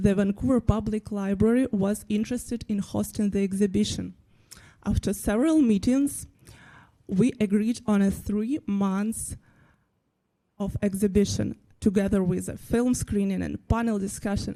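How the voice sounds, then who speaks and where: In a Ukrainian accent, a woman talks at a moderate pace with fairly even intonation and a dark, mellow tone, on a very clean recording with a silent background. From Ukraine. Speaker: graphic designer. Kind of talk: presentation talk.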